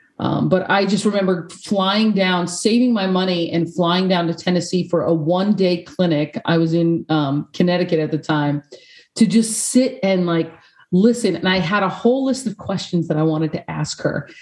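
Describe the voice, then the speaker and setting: Speaking at a moderate pace with an American accent, the voice is an ordinary speaking voice with ordinary pitch variation. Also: woman, medium pitch for a woman. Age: 40s. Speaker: peace and sport coaching consultant. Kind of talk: interview. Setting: video call.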